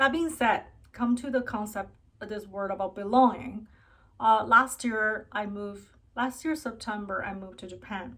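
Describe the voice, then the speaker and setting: In a Chinese accent, a woman speaks at a fairly high pitch. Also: ordinary pitch variation, moderate pace. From China, then Canada from youth. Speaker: vlogger. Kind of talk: personal vlog monologue. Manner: halting with fillers.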